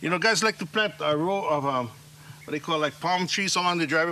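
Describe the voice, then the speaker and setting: Noticeable background noise sits behind a very fast voice with a Hawaiian accent. Pitch variation is ordinary. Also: man. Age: 50s. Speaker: farmer and slack key musician. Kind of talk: casual talk on farm tour. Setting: outdoors.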